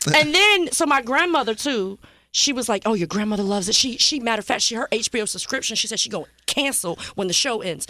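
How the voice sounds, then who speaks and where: Animated and very fast, the voice makes very wide pitch swings in an American accent. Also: woman, fairly high pitch for a woman. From Virginia Beach, Virginia. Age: 30s. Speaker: TV news journalist. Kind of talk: casual chat. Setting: studio.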